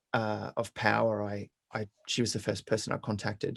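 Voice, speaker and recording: With an Australian accent, a man talks at a moderate pace in a dry, close sound with no echo. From Brisbane, Australia. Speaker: singer-songwriter. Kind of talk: interview answer.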